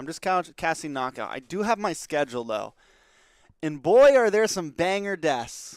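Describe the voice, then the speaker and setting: In a very clean recording with a silent background, a man speaks loud and high, with an energetic, excited tone and very wide pitch swings. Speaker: esports shoutcaster and streamer. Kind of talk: casual livestream chat.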